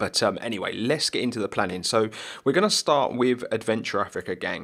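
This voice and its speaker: Quietly, a man with a British accent speaks with ordinary pitch variation in a very clean recording against a silent background. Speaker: gaming video creator. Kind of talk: gameplay commentary. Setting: home recording at night. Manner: quiet, subdued; casual, filler-heavy.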